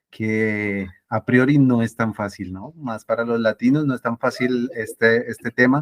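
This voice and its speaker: With hardly any pauses, a man talks at a fairly slow pace and medium pitch with fairly even intonation, in a dry, close sound with no echo. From Colombia, Ibagué (Tolima). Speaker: interview guest, mathematician. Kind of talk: casual interview.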